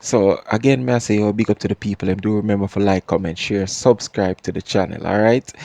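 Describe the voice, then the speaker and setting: In a Jamaican accent, a man talks at a fairly low pitch with a dry, close sound and no echo. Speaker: podcast host. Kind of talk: casual commentary. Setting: home, not studio. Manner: repeats words, stammering.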